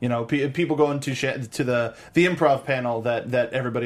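A man speaks at a medium pitch with fairly even intonation. He has an ordinary speaking voice. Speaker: TV aftershow host. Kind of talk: casual interview. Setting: studio.

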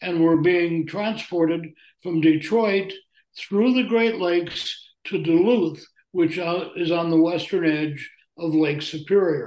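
A man with a high pitch talks at a fairly slow pace with fairly even intonation. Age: old. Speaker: journalist and author. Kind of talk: interview.

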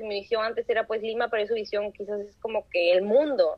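With monotone, flat intonation, a woman speaks at a fairly high pitch and a moderate pace. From Trujillo, northern Peru. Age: 20s. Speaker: university student. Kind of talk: casual interview. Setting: video call.

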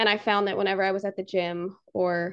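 Her voice is fairly low for a woman, with vocal fry and an American accent. The intonation stays fairly even. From Maryland, near Annapolis. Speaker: personal trainer and nutritionist. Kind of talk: casual interview chat. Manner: articulate, well-spoken.

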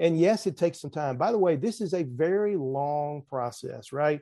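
A man with a Southern US accent and a dark, mellow tone speaks at a fairly high pitch and a moderate pace against a quiet background. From US South. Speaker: risk management expert. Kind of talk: casual interview.

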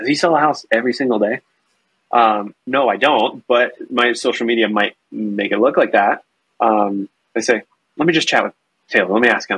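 A normal speaking voice comes across at a moderate pace with ordinary pitch variation. The sound is dry and close, with no echo. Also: man, medium pitch for a man. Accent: American. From North Carolina. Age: 30s. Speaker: real estate agent and team leader. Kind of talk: casual interview.

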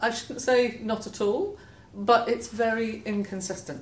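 A woman speaks with a Scottish accent. Room echo is audible. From Scotland. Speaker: head of environmental charity. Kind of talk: interview conversation.

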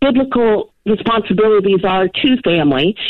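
A woman speaks at a fairly slow pace in a fairly high pitch with lively intonation, in a normal speaking voice. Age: 50s. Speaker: caller. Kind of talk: phone-in question. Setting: phone call.

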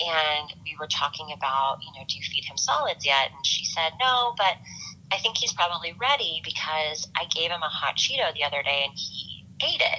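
A woman in an American accent speaks at a moderate pace with lively intonation. Noticeable background noise can be heard. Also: fairly low pitch for a woman. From Los Angeles, US. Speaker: former teacher, mothers' nonprofit member. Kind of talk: interview.

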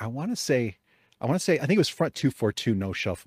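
In a very clean recording with a silent background and a dry, close sound with no echo, a man speaks in an animated tone with very wide pitch swings. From Chicago area, US Midwest. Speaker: podcast host. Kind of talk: casual chat. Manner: joking, animated.

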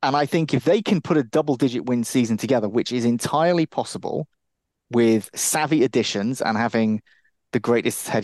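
A man talks in a plain, everyday voice at medium pitch and a fairly quick pace. The sound is dry and close with no echo, over a quiet background. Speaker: podcast co-host, NFL and college football analyst. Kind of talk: casual sports chat.

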